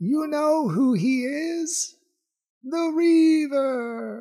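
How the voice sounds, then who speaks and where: A man puts on a character voice, pitched extremely high, shrill and cackling. He speaks at a very slow pace. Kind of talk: taunting, villainous. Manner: menacing, cackling, screeching.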